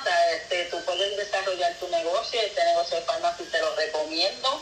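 Lively intonation at a moderate pace, with audible room echo and noticeable background noise. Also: woman. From Puerto Rico. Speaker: beauty products consultant. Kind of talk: casual interview.

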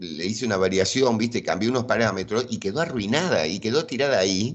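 Lively in intonation, a man with an ordinary speaking voice talks at a medium pitch and a fairly quick pace. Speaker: game developer. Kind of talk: interview.

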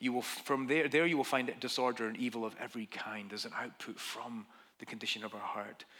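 A man with a Scottish accent talks very fast in a bright, sharp tone on a very clean recording with a silent background. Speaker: pastor. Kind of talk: sermon. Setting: church.

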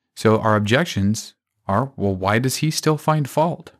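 Music plays in the background as a man speaks at a fairly slow pace. His pitch is medium with ordinary pitch variation. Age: 20s. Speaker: Bible teacher podcaster. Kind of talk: Bible teaching monologue.

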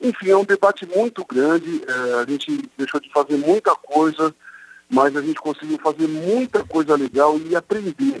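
A normal speaking voice from a man at a fairly high pitch, moderate pace and lively intonation, dry and close with no echo. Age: 50. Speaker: sports journalist. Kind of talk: radio interview.

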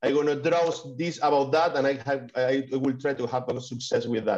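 At a moderate pace, a man with a Spanish accent speaks at a fairly high pitch. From Spain. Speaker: digital artist. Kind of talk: interview. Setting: video call. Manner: halting.

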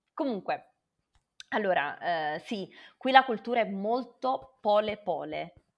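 Against a quiet background, a woman of medium pitch talks at a very slow pace with very wide pitch swings and vocal fry. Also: long, frequent pauses. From southern Italy, Naples. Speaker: renewable energy professional. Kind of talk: interview.

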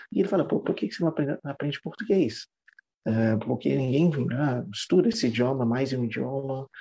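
With a dark, mellow tone and medium pitch, a man speaks at a fairly quick pace, somewhat breathy, his intonation lively. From Trinidad and Tobago. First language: English (speaking Portuguese). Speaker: English teacher. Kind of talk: interview.

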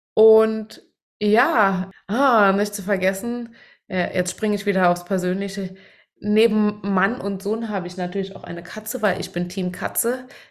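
A plain, everyday voice at a fairly slow pace, with fairly even intonation. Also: woman, medium pitch for a woman. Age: 30s. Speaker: podcast host, organizational development coach. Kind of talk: casual chat.

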